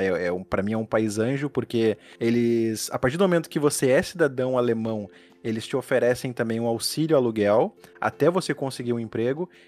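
Speaking at a fairly quick pace, a man uses a medium pitch with ordinary pitch variation, and the sound is dry and close with no echo. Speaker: podcast host. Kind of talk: interview.

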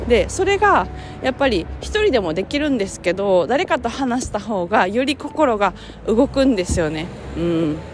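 Noticeable background noise around a woman's moderately paced voice, with very wide pitch swings. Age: 30s. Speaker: career coach and podcaster. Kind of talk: casual solo podcast monologue. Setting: outdoors walking home from station. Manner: relaxed with frequent fillers and laughs.

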